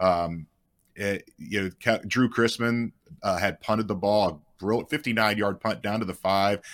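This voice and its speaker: The recording is very clean, with a silent background. A man with a normal speaking voice and fairly low pitch talks at a moderate pace with fairly even intonation. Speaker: sports journalist. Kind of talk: casual chat.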